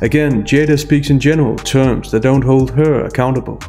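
The speaker is a man. Faint music can be heard in the background. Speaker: commentary youtuber. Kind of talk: commentary. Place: office. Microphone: studio mic.

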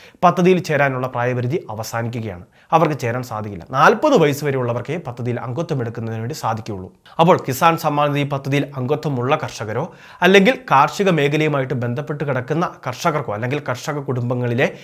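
Recorded very cleanly against a silent background, a man with an unremarkable speaking voice talks at a fairly high pitch. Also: ordinary pitch variation. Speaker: YouTube news explainer. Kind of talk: informational narration.

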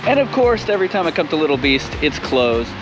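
Behind this man's very fast speech, clear music plays. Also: dry sound with no echo. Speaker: travel vlogger. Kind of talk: casual vlog chat. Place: street. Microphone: phone near.

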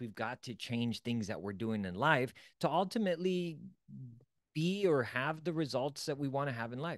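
A man speaks at a moderate pace with very wide pitch swings. The sound is dry with no echo, and the background is quiet. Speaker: self-development coach. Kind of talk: motivational lecture. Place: home room. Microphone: studio mic.

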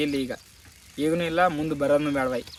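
Over noticeable background noise, a man talks at a fairly high pitch. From North Karnataka, Gulbarga district village. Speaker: village travel vlogger and farm worker. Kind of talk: casual Q&A vlog. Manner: animated.

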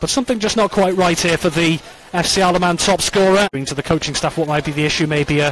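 A man talks at a very fast pace in a fairly high voice. His tone is animated, and background noise is noticeable. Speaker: football commentator. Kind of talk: live match commentary. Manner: fast, fluent play-by-play delivery; urgent and animated, rising at chances and set pieces.

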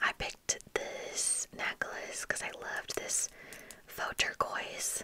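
Whispering and soft-spoken, a woman talks at a very slow pace over noticeable background noise. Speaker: ASMR creator. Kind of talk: soft-spoken show-and-tell chat. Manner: soft, close-mic ASMR whisper. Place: home room. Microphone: studio mic.

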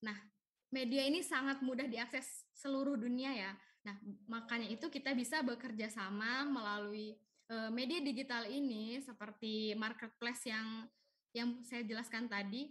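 The speaker is a woman talking at a moderate speed. Her intonation is fairly even. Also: quiet background. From Indonesia. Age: 20s. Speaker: young online shop entrepreneur; webinar presenter. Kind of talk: webinar presentation. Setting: video call. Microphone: video call.

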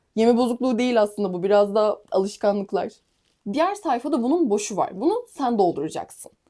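Moving along at a fairly quick pace, this voice carries a dark, mellow tone. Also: woman, fairly high pitch for a woman, lively intonation. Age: young. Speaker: fitness trainer and competitive athlete. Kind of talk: casual vlog tutorial.

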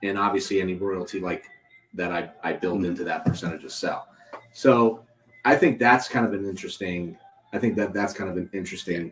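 A fairly low-pitched man at a fairly quick pace, with music in the background. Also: ordinary pitch variation. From Youngstown, Ohio. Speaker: podcast host, marketing conference organizer. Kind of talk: casual chat. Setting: live at a coffee shop. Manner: animated.

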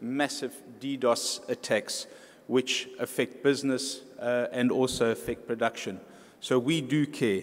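At a fairly slow pace, a man speaks in a flat monotone with very even loudness. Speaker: keynote speaker. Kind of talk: keynote speech. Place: hall. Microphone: podium.

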